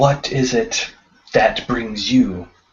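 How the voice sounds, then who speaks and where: A man's put-on character voice at a medium pitch. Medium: actual play. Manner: formal, deliberate.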